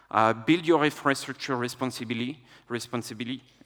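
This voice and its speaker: A man speaks at a moderate pace in a bright, sharp tone with ordinary pitch variation, on a very clean recording with a silent background. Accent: French. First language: French. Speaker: tech executive, conference speaker. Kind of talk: conference talk. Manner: hesitant, many filler uhs.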